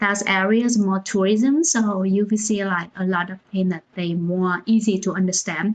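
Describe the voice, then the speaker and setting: Against a quiet background, a woman with a Vietnamese accent keeps a moderate pace and fairly even intonation, with hardly any pauses. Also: medium pitch for a woman. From central Vietnam, Da Nang. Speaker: founder of a cultural organization, livestream host. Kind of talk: livestream talk. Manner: hesitant, many fillers.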